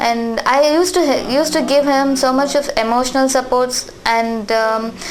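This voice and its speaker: Speaking at a high pitch, a woman keeps a moderate pace, fairly even intonation and very even loudness. Audible room echo and noticeable background noise fill the recording. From India, Tamil Nadu. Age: 20s. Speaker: nurse. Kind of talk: interview. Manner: halting, with fillers.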